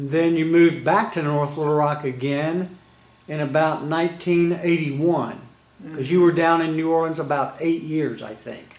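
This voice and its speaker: Speaking with an American accent, a man uses a plain, everyday voice at a fairly high pitch. His intonation is fairly even and his pace moderate. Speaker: interviewer. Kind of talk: interview questions.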